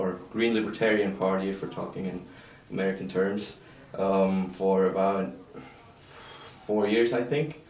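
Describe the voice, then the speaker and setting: A man speaks at a fairly slow pace with fairly even intonation, with audible room echo and noticeable background noise. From Switzerland, Lucerne canton. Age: 20s. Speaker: young politician. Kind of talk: interview. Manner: hesitant, many fillers.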